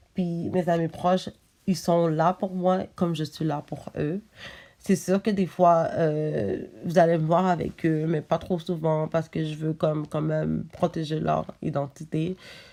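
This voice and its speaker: A woman speaks at a very slow pace in a fairly low pitch, with a dark, mellow tone and fairly even intonation, on a very clean recording with a silent background. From Montreal, Quebec, Haitian family. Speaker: vlogger. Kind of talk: casual vlog talk to camera. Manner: halting, many fillers.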